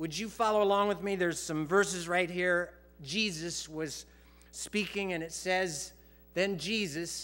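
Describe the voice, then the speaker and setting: A man at a fairly slow pace, with fairly even intonation. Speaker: pastor. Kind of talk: sermon. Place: church. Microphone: headset.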